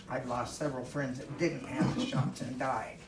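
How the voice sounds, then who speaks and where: Through audible room echo and noticeable background noise, a woman talks at a moderate pace. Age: 80s+. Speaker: public commenter at county meeting. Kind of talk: public comment. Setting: county board meeting.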